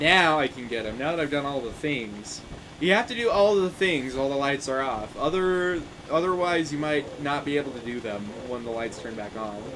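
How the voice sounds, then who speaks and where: A man's fairly high voice carries lively intonation at a moderate pace, with noticeable background noise and audible room echo. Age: 20s. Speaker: gaming streamer. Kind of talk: casual live stream chat. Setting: live stream.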